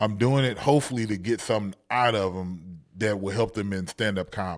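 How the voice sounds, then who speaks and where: Here a man with an American accent talks at a fairly low pitch, with ordinary pitch variation. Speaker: stand-up comedian and comedy teacher. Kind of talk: casual chat.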